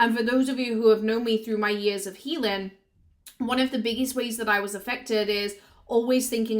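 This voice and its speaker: With a Yorkshire accent, a woman talks at a fairly high pitch and fairly quick pace, her intonation fairly even. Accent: northern English (Yorkshire). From Yorkshire, northern England. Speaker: business coach and content creator. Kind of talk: personal storytelling vlog.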